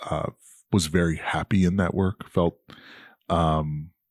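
In a New York accent, a man speaks with a very deep, low pitch at a fairly slow pace. His intonation is fairly even, and the sound is dry and close with no echo. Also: very clean recording, silent background. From New York, Queens. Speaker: nonprofit executive. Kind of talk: interview.

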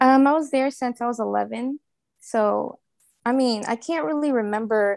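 A woman speaks with an American accent in an unremarkable speaking voice, at a moderate pace with ordinary pitch variation. The sound is dry and close, with no echo. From New Orleans, US South. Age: 20s. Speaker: fashion designer and interior designer. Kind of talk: casual interview.

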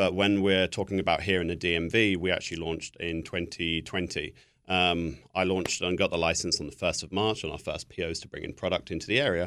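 Speaking very fast with hardly any pauses, a man with a very deep, low pitch and a southern British accent keeps a fairly even intonation on a very clean recording with a silent background. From southern England. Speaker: spirits company representative. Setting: studio.

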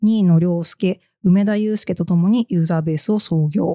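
Recorded very cleanly with a silent background and a dry, close sound with no echo, a woman speaks at a moderate pace in a dark, mellow tone with ordinary pitch variation. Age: 30s. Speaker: podcast host and editor. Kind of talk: casual chat. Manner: low-key.

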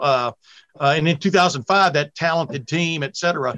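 A man's fairly high voice, an ordinary speaking voice with ordinary pitch variation, dry and close with no echo. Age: 60s. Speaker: college football podcast host. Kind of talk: casual chat.

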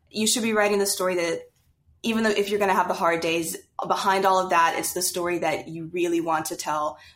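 An ordinary speaking voice with an American accent, fairly even intonation and a fairly quick pace, on a very clean recording with a silent background. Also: woman. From US South, Louisiana. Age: 20s. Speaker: young adult novelist. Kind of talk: casual interview.

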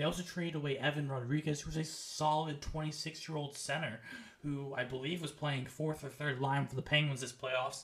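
Speaking with an American accent at a moderate pace, a man has an ordinary speaking voice, a fairly high pitch, and fairly even intonation. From United States. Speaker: sports podcast co-host. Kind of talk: casual chat.

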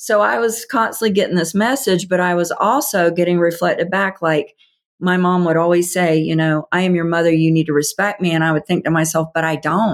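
With an American accent and a normal speaking voice, a woman talks at a fairly quick pace and fairly low pitch, keeping very even loudness and ordinary pitch variation. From US South. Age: 50s. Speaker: author and healing coach. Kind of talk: interview.

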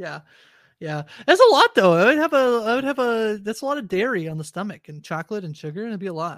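A woman's fairly high voice at a very fast pace, with very wide pitch swings and big swings in loudness, in a very clean recording over a silent background. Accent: Canadian. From Canada. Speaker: podcast host. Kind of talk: casual chat.

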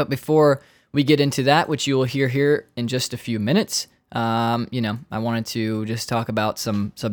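A man speaks at a moderate pace in a plain, everyday voice, medium in pitch, with a dry, close sound free of echo and a very clean recording over a silent background. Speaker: podcast host. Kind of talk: casual interview chat. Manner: casual, self-deprecating, laughs often.

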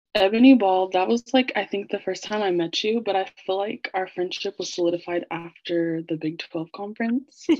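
In an American accent, a woman with a plain, everyday voice speaks at medium pitch and a moderate pace, with ordinary pitch variation and hardly any pauses. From Kansas City, US Midwest. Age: 20s. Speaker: marketing coordinator. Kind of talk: casual chat.

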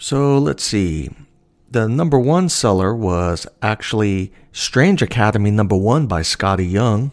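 A plain, everyday voice with lively intonation and very even loudness moves at a fairly slow pace on a very clean recording with a silent background. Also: man, fairly low pitch for a man. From New York. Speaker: comic shop owner and podcast host. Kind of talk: casual monologue.

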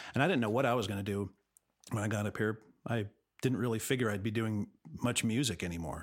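A man with an American accent talks at a very fast pace with a fairly low pitch and ordinary pitch variation, broken by long, frequent pauses. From Los Angeles, California. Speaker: musician and film composer. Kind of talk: interview. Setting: remote recording from home studio.

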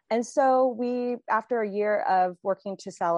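The recording has a dry, close sound with no echo and a quiet background. A woman speaks at a fairly slow pace with a US Midwestern accent. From Indiana, US Midwest. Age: 50s. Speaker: author. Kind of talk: interview.

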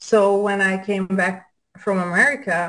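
A woman speaks with a Hungarian accent. Her pitch is medium. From Hungary. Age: 40s. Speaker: adult film actress. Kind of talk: casual interview. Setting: video call.

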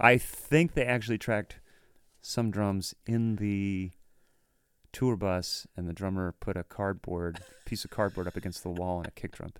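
With an American accent, a man uses an ordinary speaking voice at a fairly low pitch, moderate pace and ordinary pitch variation, in a very clean recording with a silent background. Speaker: podcast host, drummer. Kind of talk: casual interview chat.

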